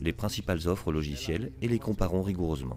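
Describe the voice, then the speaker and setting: A man speaks with a very deep, low pitch and vocal fry. His intonation is lively and his pace moderate. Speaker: consultancy founder presenting at a conference. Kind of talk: business presentation. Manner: formal.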